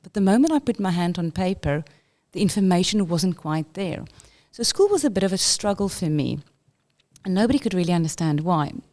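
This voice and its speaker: The tone is dark and mellow, with a South African accent. Delivery is fairly quick and the intonation lively. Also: woman, medium pitch for a woman, very clean recording, silent background. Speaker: school inclusion leader. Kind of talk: interview.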